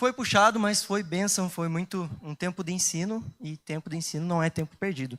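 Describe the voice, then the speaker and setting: Recorded with a dry, close sound and no echo, a man with a high pitch talks at a moderate pace with ordinary pitch variation. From southern Brazil, Curitiba. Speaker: lay preacher. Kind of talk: sermon. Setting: church.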